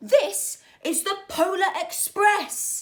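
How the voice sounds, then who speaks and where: A put-on character voice from a woman, pitched extremely high. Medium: read story. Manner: crisp, formal.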